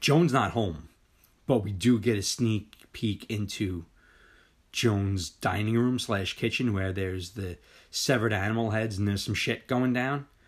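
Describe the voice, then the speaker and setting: In an unremarkable speaking voice, a man talks at a moderate pace and a fairly low pitch with ordinary pitch variation on a very clean recording with a silent background. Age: 40s. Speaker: podcast host. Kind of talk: casual chat.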